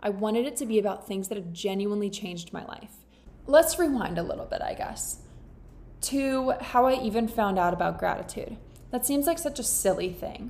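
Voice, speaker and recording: Her fairly high pitch moves with lively intonation at a fairly quick pace. The woman's loudness swings widely. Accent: American. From Florida. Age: 20s. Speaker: podcast host. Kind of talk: casual chat. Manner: animated.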